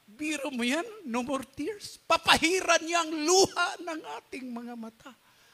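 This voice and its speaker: An animated, high-pitched male voice at a fairly slow pace. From Philippines. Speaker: pastor. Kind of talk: sermon. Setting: church. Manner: animated, fervent preaching with call-and-response exclamations; code-switches between Tagalog and English, laughs while joking. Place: church. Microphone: handheld.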